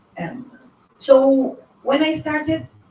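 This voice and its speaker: A woman amid noticeable background noise. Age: 40s. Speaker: linguist and science communicator on YouTube. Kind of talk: conference talk.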